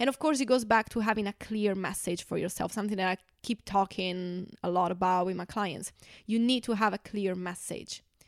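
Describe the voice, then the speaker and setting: On a very clean recording with a silent background and a dry, close sound with no echo, a woman with an Italian accent speaks fairly quickly at a medium pitch with ordinary pitch variation. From Italy. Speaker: translator and podcast co-host. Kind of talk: casual chat.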